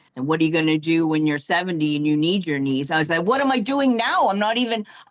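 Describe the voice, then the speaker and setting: Over noticeable background noise, a woman talks very fast at a fairly low pitch, her pitch swinging very widely while her loudness stays very even. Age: 50s. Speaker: knee replacement patient. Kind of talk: interview. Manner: halting.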